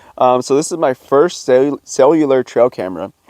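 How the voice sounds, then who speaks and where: A man at medium pitch with a dark, mellow tone, a fairly quick pace, ordinary pitch variation, and a dry, close sound with no echo. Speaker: hunting and outdoor gear YouTuber. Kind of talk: product review. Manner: casual, hesitant with fillers.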